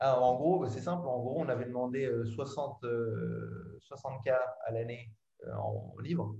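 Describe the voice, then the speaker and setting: A man speaks at a medium pitch and a very slow pace. Audible room echo surrounds his voice. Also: ordinary pitch variation. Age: 30s. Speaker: advertising professional. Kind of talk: casual interview chat.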